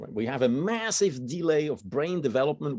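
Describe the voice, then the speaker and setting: Speaking at a fairly quick pace, a man has a dark, mellow tone and a fairly high pitch. He talks with a Swiss German accent. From German-speaking Switzerland. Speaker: biology researcher. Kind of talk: lecture. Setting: university seminar room with audience.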